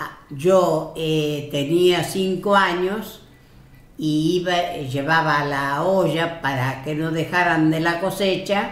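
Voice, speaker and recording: Amid noticeable background noise and audible room echo, a woman speaks very slowly in a fairly low voice with fairly even intonation. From Spain, Galicia (Lugo), emigrated to Argentina at 14. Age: 80s+. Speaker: elderly immigrant relative. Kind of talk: family interview, life story.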